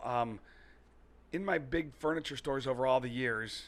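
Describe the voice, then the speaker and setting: A man with an American accent and an ordinary speaking voice talks at a moderate pace and medium pitch with ordinary pitch variation, in a very clean recording with a silent background. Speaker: furniture and mattress store owner. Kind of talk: podcast interview answer. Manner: casual, chatty.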